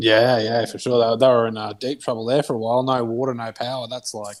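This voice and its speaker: A man talks at a fairly quick pace in a strong Australian accent. His medium pitch stays monotone, with flat intonation. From Australia (Queensland). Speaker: stream viewer in voice chat. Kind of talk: casual chat.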